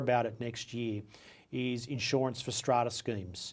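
With an Australian accent, a man talks at a fairly quick pace in a medium pitch with fairly even intonation. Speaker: property podcast host. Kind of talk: interview.

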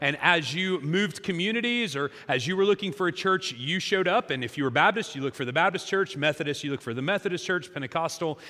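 Speaking with an American accent, the voice has a bright, sharp tone, lively intonation, and a fairly quick pace. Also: man. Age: 40s. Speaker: pastor. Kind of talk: sermon. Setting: church.

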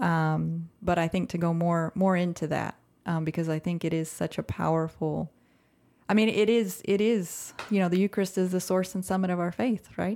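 With an American accent, a woman uses an unremarkable speaking voice, fairly low in pitch and fairly even in intonation. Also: moderate pace. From Central Texas. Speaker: podcast co-host, ministry founder. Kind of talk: casual chat.

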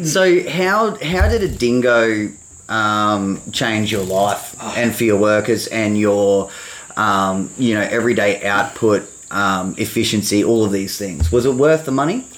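This man's voice sits fairly low, and he speaks at a fairly slow pace with lively intonation. Noticeable background noise runs underneath. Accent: Australian. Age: 30s. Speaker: podcast host, lawn care business owner. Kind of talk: casual chat.

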